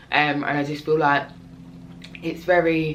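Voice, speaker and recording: A woman with a fairly low pitch talks at a fairly slow pace in a monotone, flat way. Audible room echo is present. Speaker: community interest company founder, vlogger. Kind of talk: casual talk to camera. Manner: halting, many fillers.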